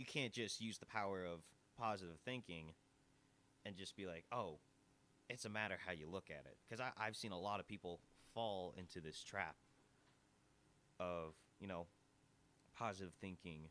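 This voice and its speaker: With a very deep, low pitch, a man speaks loudly at a moderate pace in a bright, sharp tone, using ordinary pitch variation and long, frequent pauses. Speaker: podcast host. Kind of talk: casual podcast monologue. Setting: live recording at an audio bar. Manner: animated.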